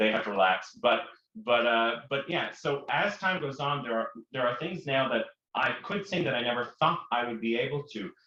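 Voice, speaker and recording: Here a man speaks at a moderate pace with a fairly high pitch. His intonation is lively. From Prince Edward Island, Canada. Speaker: opera singer. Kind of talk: interview.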